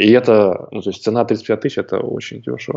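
A man is speaking. His pitch is medium. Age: young. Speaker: online entrepreneur and course creator. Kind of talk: interview. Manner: halting, many filler sounds.

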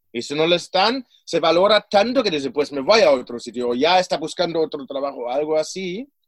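A man with a German accent talks at a fairly quick pace, with hardly any pauses. His pitch is high and swings very widely. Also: dry, close sound with no echo. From Germany. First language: German (speaking Spanish). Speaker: personal development coach and author. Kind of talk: interview.

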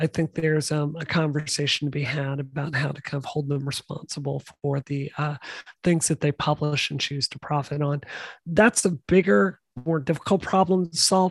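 In a very clean recording with a silent background, a woman speaks with a very deep, low pitch and a somewhat breathy voice. Her pace is moderate, her pitch variation ordinary, and the sound dry and close with no echo. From US South, Mississippi. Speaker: software engineer and game developer. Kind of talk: interview.

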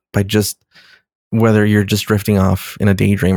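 In an American accent, a man speaks in a fairly low pitch with monotone, flat intonation, recorded with a dry, close sound and no echo. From Los Angeles, US. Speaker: writer and director. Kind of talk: casual chat.

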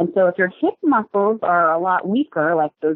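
This is a woman talking at a moderate speed. Her voice sits at a medium pitch. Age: 40s. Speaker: sports medicine doctor. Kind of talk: interview. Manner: repetitive filler words, halting.

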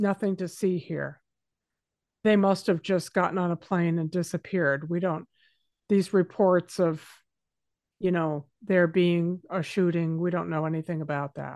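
With a fairly low pitch and fairly even intonation, a woman speaks at a fairly slow pace, leaving long, frequent pauses. The sound is dry and close with no echo, over a quiet background. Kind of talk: angry rant. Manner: indignant, emphatic, sarcastic, with stressed repeated words.

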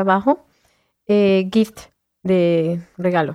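A woman's voice with ordinary pitch variation. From Venezuela, Caracas. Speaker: volunteer radio presenter and craft entrepreneur. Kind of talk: radio interview.

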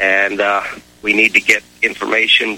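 Over noticeable background noise, a man talks at a fairly low pitch and a fairly slow pace. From Hawaii. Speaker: caller.

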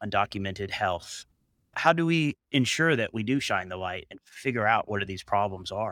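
At a moderate pace, a man with a medium-pitched voice speaks with lively intonation and a bright, sharp tone, the sound dry and close with no echo on a very clean recording with a silent background. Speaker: nephrologist, podcast co-host.

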